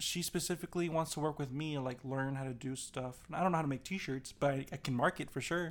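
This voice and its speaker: A man with a normal speaking voice talks at a fairly high pitch with ordinary pitch variation. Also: very clean recording, silent background. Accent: American. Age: young. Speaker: podcast co-host. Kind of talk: casual chat.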